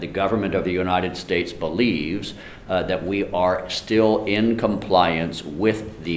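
A man's fairly low voice at a fairly slow pace, with light background noise and audible room echo. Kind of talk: press conference answer. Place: meeting room.

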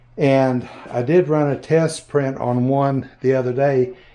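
A man's voice with a dark, mellow tone and fairly even intonation. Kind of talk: casual vlog chat. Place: workshop. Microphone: phone near.

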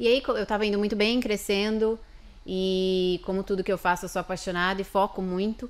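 An ordinary speaking voice, this woman's sits at a medium pitch and moves at a fairly quick pace with fairly even intonation. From São Paulo, Brazil (Barueri area); São Paulo, Brazil. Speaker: lawyer and immigrant; podcast guest. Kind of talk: interview. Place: studio. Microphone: studio mic.

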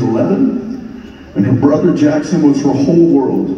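A man amid light background noise and audible room echo. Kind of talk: reading a letter aloud on stage. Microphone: pa.

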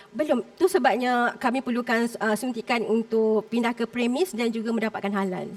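A woman keeps a moderate pace with hardly any pauses, her fairly high pitch showing ordinary pitch variation. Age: 40s. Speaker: food entrepreneur contestant. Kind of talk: pitch to judges on reality show. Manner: halting.

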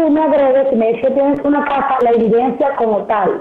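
Over noticeable background noise, a woman talks in a high pitch with ordinary pitch variation. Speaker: guest. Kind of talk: interview answer. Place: home room.

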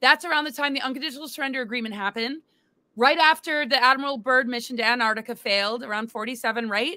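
A woman talks at a very fast pace with a high pitch and a bright, sharp tone. Her pitch varies in an ordinary way, and the sound is dry with no echo over a quiet background. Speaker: alien disclosure speaker, great-granddaughter of a president; interview guest. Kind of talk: interview conversation. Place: home room.

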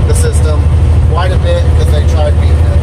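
The speech goes by at a very fast pace. Loud background noise fills the recording. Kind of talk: casual vlog chat. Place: car. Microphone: camera far.

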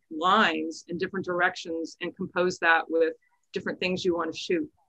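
Against a quiet background, a woman speaks at a moderate pace in a bright, sharp tone with ordinary pitch variation. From Texas. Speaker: astrophotographer and workshop instructor. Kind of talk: online presentation. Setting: video call. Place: office. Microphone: video call.

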